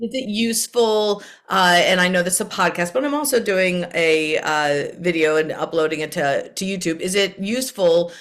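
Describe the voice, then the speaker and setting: A woman with an unremarkable speaking voice talks at a moderate pace and fairly low pitch with ordinary pitch variation. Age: 50s. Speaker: podcast host, therapist. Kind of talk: podcast interview.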